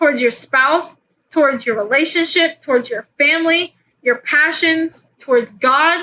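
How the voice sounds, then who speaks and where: In a raised, projected voice, a woman speaks at a fairly slow pace. Her tone is bright and sharp, her pitch high with ordinary variation. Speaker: faith podcast host. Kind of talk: casual faith talk. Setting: at home in bed. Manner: animated; loud.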